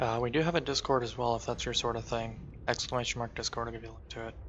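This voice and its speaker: Quiet and mumbling, a man talks at a very fast pace. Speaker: video game streamer. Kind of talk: live gameplay commentary. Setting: live stream. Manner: mumbles quietly, trails off.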